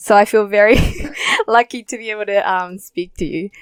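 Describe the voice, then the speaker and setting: Here a woman speaks with an Australian accent at a fairly quick pace. The sound is dry and close, with no echo. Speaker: podcast host. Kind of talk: interview podcast. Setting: Zoom call.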